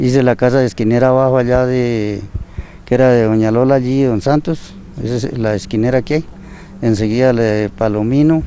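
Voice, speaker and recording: The speech moves at a fairly quick pace with fairly even intonation. Noticeable background noise can be heard. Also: man, medium pitch for a man. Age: 70s. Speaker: retired builder. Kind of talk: interview.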